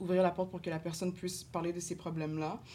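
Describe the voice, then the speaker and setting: The woman's fairly low voice stays monotone and flat in its intonation. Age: 20s. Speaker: social work student. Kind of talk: casual chat.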